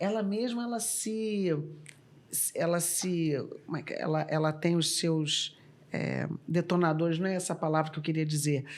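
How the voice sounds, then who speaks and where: At a moderate pace broken by long, frequent pauses, a woman speaks in a fairly low pitch with ordinary pitch variation. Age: 60s. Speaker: former corporate executive and board member. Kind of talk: podcast interview.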